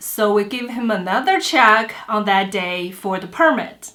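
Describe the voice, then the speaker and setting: A woman's fairly high, bright and sharp voice in a Chinese accent, at a fairly slow pace with ordinary pitch variation and audible room echo. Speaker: vlogger. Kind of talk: storytelling. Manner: halting.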